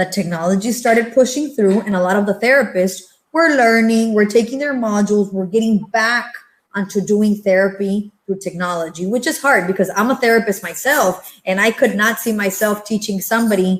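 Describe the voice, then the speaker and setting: A woman with a Spanish accent, medium in pitch, at a moderate pace with ordinary pitch variation. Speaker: entrepreneur and pediatric therapist. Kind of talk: panel discussion.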